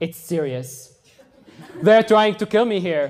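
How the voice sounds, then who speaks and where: A man with a Tunisian accent speaks in a high pitch at a moderate pace. His pitch varies in an ordinary way. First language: Tunisian Arabic. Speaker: exchange student, speaker. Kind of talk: TED-style talk.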